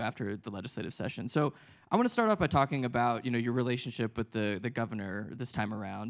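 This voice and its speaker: A man at a very fast pace with an American accent, medium in pitch. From Philadelphia. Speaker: political reporter, moderator. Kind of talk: panel interview.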